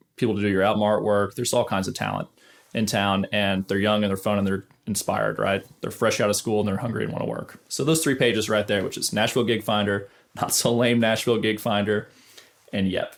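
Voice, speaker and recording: Talking very fast, a man with a fairly low pitch and vocal fry keeps his intonation fairly even. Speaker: studio guitarist and YouTuber. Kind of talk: casual advice talk to camera.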